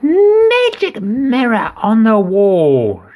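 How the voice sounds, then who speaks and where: A man uses a put-on character voice pitched high. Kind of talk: bedtime story. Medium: read story. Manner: imperious.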